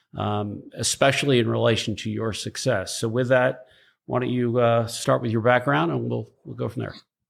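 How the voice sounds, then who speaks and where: On a very clean recording with a silent background, a man with a medium pitch uses a plain, everyday voice at a moderate pace with ordinary pitch variation. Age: 50s. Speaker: podcast host. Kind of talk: casual interview.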